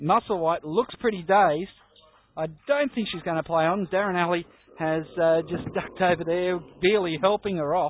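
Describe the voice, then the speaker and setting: A man with an Australian accent, high in pitch with ordinary pitch variation, at a moderate pace. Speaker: basketball play-by-play commentator. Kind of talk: live sports commentary.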